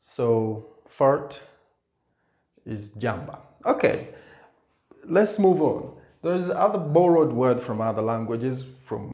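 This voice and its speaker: A man with an East African accent speaks at a very slow pace, leaving long, frequent pauses. His medium-pitched voice makes very wide pitch swings, and audible room echo surrounds it. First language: Swahili. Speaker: language teacher. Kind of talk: tutorial. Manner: halting.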